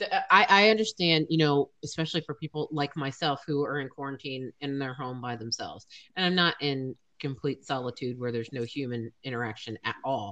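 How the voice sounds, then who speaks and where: A woman's very deep, low voice with an American accent, bright and sharp in tone, with ordinary pitch variation at a fairly quick pace. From USA. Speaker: podcast host. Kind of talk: casual chat. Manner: animated.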